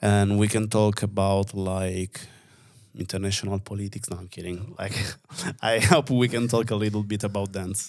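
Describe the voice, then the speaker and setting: A man with an Italian accent, fairly low pitch and fairly even intonation, at a moderate pace, in a very clean recording with a silent background. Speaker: podcast host. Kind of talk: casual conversation. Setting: studio.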